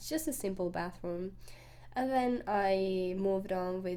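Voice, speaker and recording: A woman with a Finnish accent speaks at a fairly slow pace, her pitch varying in an ordinary way, with audible room echo. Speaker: gaming youtuber. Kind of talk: voiceover commentary. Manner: halting.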